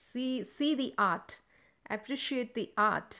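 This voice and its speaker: A woman with an Indian accent speaks at a fairly slow pace. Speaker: dance teacher. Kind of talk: interview.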